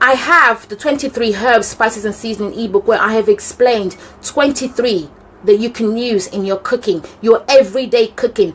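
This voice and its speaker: A woman talks at a moderate pace in a normal speaking voice. Her pitch is fairly high, with ordinary variation. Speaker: cooking channel host. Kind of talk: live stream cooking tips chat.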